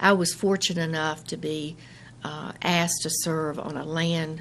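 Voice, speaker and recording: With light background noise behind her, a woman talks at a moderate pace in a very deep, low pitch and fairly even intonation. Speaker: county register of deeds. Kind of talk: radio interview answer. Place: office. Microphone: studio mic.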